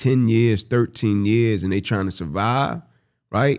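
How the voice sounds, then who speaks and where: An unremarkable speaking voice from a man, medium in pitch with ordinary pitch variation, comes at a moderate pace in a very clean recording with a silent background. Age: 30s. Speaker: podcast co-host and motivational speaker. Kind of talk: casual chat.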